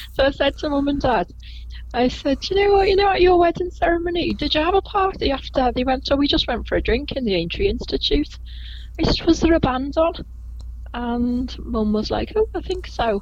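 A woman talks at a fairly quick pace with a Liverpool accent. Noticeable background noise runs underneath. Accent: Liverpool (Scouse), fairly gentle. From Liverpool, England. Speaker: Beatles tour guide. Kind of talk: casual interview chat.

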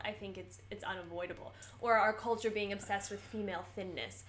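Over noticeable background noise, a woman with an American accent talks at a very fast pace and medium pitch with fairly even intonation. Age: 20s. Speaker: podcast co-host, actor. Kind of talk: casual chat.

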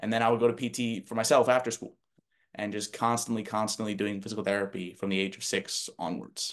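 In an ordinary speaking voice with an American accent, a man talks at a fairly quick pace with a fairly low pitch and fairly even intonation. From New Jersey. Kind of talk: interview.

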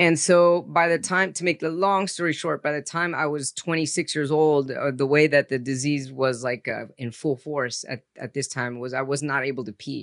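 A man with an ordinary speaking voice talks at a fairly high pitch and moderate pace, with ordinary pitch variation. He leaves hardly any pauses, and the sound is dry and close with no echo. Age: 40s. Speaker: psychologist and author with a rare disease. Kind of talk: personal testimony in interview.

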